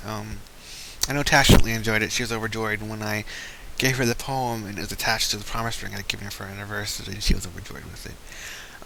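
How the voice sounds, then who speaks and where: A man at medium pitch speaks very fast with ordinary pitch variation. Noticeable background noise and audible room echo surround him. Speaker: creative writing student. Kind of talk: casual spoken presentation. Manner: halting, stammering.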